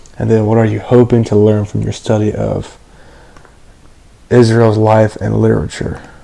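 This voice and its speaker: With noticeable background noise behind it, the moderate-paced speech is broken by long, frequent pauses. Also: man. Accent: American. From Florida. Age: young. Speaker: college student. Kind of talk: casual self-introduction video. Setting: video recording. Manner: halting.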